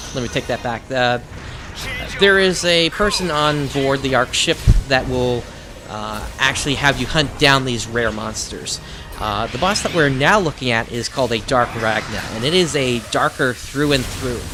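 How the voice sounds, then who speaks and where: Music sits in the background as the speech moves at a moderate pace with ordinary pitch variation. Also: man, medium pitch for a man. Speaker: gaming YouTuber. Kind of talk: let's play commentary. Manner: halting, many fillers.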